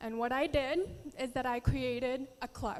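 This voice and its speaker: A woman with a Filipino accent speaks at a high pitch with fairly even intonation. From Philippines and US. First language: Tagalog. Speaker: beauty pageant contestant. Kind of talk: prepared speech.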